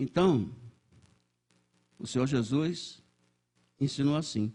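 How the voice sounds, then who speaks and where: Somewhat breathy and dark, mellow in tone, the voice moves at a fairly slow pace through very wide pitch swings. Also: man. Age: 80s+. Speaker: church elder, lay preacher. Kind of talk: sermon. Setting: church service. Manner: halting, with many repetitions and self-corrections.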